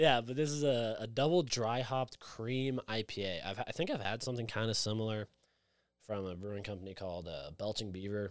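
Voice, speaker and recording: A man with an American accent and a plain, everyday voice, medium in pitch, fairly quick in pace, with ordinary pitch variation, on a very clean recording with a silent background. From outside the US. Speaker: craft beer podcast co-host. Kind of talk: casual chat.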